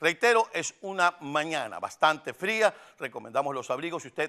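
Against a quiet background, a man with a bright, sharp tone talks at a moderate pace with lively intonation, the sound dry and close with no echo. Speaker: TV morning show host. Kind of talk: weather and traffic report.

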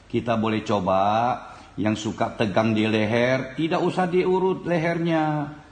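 A man talks fairly slowly, and audible room echo surrounds his words. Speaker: folk remedy practitioner demonstrating. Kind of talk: tutorial. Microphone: phone near.

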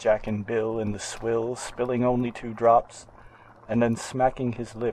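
The reading voice here is natural. Nothing about it sounds forced.

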